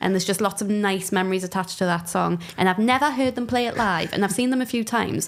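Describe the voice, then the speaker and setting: Someone speaks very fast in a Geordie accent. The pitch varies in an ordinary way. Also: woman. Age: 30s. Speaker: comedian. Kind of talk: casual chat. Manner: animated.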